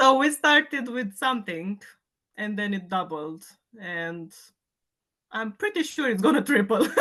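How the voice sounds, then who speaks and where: A woman's fairly high, bright, sharp voice with a Romanian accent, fairly slow with long, frequent pauses and very wide pitch swings, over a quiet background. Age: 30s. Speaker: fitness client. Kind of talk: casual chat.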